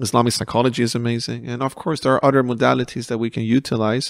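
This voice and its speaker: At a very fast pace, a man speaks at medium pitch. The sound is dry and close, with no echo. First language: not English. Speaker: counsellor. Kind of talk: podcast interview. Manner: halting.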